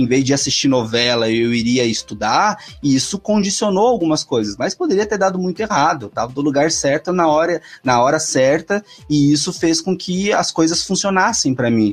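Here is a man with an unremarkable speaking voice and a fairly high pitch. He speaks at a moderate pace with lively intonation. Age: 30s. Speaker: economics professor and author. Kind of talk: casual chat.

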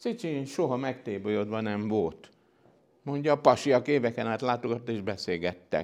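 A normal speaking voice at a moderate pace. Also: man, medium pitch for a man, ordinary pitch variation. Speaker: science historian, professor. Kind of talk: lecture.

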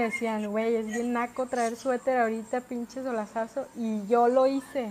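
Over noticeable background noise, a woman talks at a moderate pace in a high pitch with fairly even intonation. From Mexico, Puerto Vallarta (Pacific coast). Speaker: podcast co-host. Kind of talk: casual chat.

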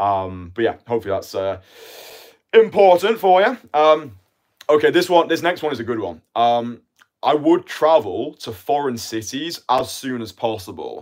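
A man in a British accent speaks at a moderate pace with a fairly high pitch and very wide pitch swings. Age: 20s. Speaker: dating coach. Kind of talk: live stream monologue. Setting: live stream. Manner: casual.

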